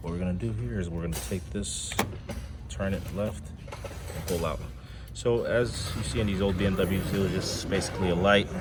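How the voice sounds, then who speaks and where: This man has a very deep, low pitch and lively intonation, talking quietly at a moderate pace. Room echo is audible, and background noise is noticeable. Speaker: car enthusiast YouTuber. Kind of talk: tutorial. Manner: quiet, subdued; casual, conversational.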